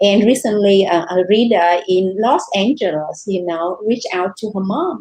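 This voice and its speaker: With a Vietnamese accent, the speaker has a dark, mellow tone and ordinary pitch variation. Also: woman. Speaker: novelist. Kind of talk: panel discussion.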